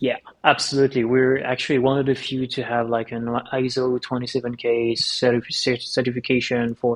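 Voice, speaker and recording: A man's voice at medium pitch stays monotone and flat, with noticeable noise behind it. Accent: French. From France. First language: French. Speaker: tech company founder and CEO. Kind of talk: podcast interview.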